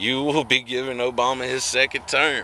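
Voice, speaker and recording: A man's medium-pitched voice with a bright, sharp tone and an American accent. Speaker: political vlogger. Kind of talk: unscripted political commentary to camera. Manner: slow; halting, with many fillers and repetitions.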